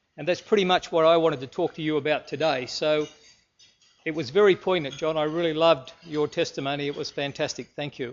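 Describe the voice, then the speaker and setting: Speaking with an Australian accent, a man talks fairly quickly at a fairly high pitch. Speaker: businessman and speaker. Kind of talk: presentation. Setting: stage with audience.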